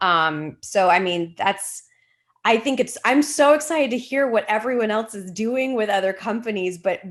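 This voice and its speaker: Moderate pace and lively intonation from a woman, on a very clean recording with a silent background. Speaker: theater company leader. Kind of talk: panel discussion. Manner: loud.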